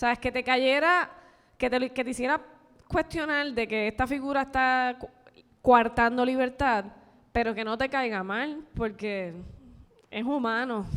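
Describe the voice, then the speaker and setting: A woman's high-pitched voice at a fairly slow pace, with long, frequent pauses, on a very clean recording with a silent background. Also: ordinary pitch variation. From Puerto Rico, Barranquitas. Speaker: film director and screenwriter. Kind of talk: panel talk with audience. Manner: halting, with repetitions.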